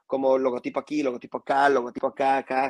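An unremarkable speaking voice from a man, fairly high in pitch, at a fairly quick pace with fairly even intonation and a dry, close sound with no echo. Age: 30s. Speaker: music video director. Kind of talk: casual chat. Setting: live stream.

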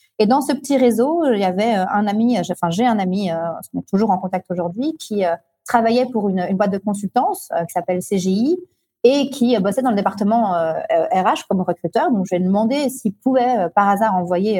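A woman speaks at a medium pitch with a dark, mellow, somewhat breathy tone and lively intonation. The sound is dry and close, with no echo. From Belgium, Brussels. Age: 30s. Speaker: entrepreneur. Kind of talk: interview.

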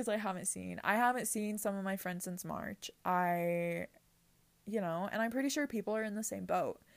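An animated woman's voice at medium pitch, moderate pace and ordinary pitch variation, on a very clean recording with a silent background. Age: young. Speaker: podcast host. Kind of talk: casual monologue. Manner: animated, with frequent fillers.

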